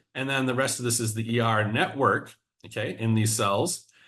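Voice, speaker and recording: Heard with audible room echo, a man speaks at a moderate pace in a bright, sharp tone. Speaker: biology professor. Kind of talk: scientific seminar lecture. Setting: video call.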